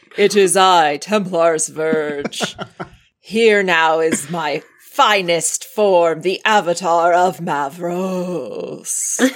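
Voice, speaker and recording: At a very slow pace, the speaker uses a put-on character voice pitched in the middle range. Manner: dramatic, theatrical.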